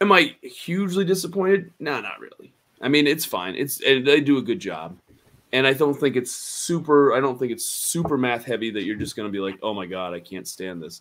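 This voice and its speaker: At a fairly quick pace, a man with a fairly high pitch and vocal fry talks with very wide pitch swings. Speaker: gaming show host. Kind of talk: casual chat about tabletop games. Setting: livestream video show.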